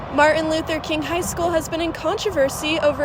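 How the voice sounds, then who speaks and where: A woman talks at a fairly quick pace in a high voice, with noticeable background noise behind her. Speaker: student TV news reporter. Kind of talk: hard news package voice-over.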